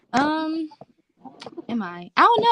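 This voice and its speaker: Lively intonation from a woman with an American accent. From Washington DC. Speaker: dancer. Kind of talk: casual interview.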